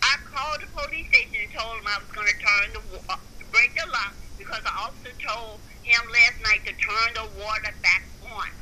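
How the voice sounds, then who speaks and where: At a moderate pace, a woman speaks with big swings in loudness over noticeable background noise. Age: 60s. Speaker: video blogger. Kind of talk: recorded conversation with paramedic. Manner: halting.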